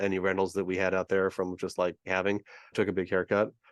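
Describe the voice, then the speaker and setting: Very fast speech with a West Coast accent, dry and close with no echo, against a quiet background. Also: man. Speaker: real estate investor. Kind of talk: interview.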